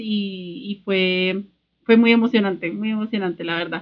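A woman has an unremarkable speaking voice. She talks at a moderate pace with ordinary pitch variation. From Colombia, Sogamoso (Boyacá). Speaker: podcast host, craft entrepreneur. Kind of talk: casual chat.

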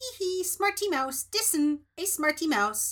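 Speaking at a fairly slow pace, a squeaky put-on character voice sits at an extremely high pitch. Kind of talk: childlike, silly. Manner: mocking, giggly.

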